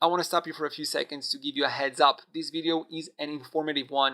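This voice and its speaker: A man speaks fairly quickly with a non-native accent at a fairly high pitch. His tone is bright and sharp, and his intonation flat and monotone. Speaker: Hebrew teacher. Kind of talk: tutorial. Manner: halting, many fillers.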